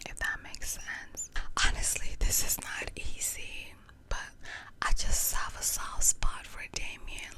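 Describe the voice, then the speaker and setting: A woman is whispering at a fairly slow pace, with big swings in loudness. There is noticeable background noise. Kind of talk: casual ASMR chat to camera, story time. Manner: whispered, soft-spoken.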